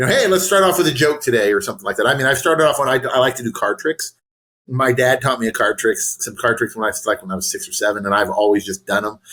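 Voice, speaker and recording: This man has an American accent and a bright, sharp tone at a medium pitch. He speaks loudly at a very fast pace. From US West Coast (San Diego). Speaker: nonprofit coach, former nonprofit CEO. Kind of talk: casual interview chat. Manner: animated.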